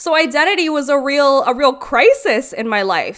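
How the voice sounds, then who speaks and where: At a moderate pace and with lively intonation, a woman speaks in an Ontario accent in a very clean recording with a silent background. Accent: Canadian (Ontario). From Brampton, Ontario, Canada, Guyanese family. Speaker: podcast co-host, events and media manager. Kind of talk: casual group discussion.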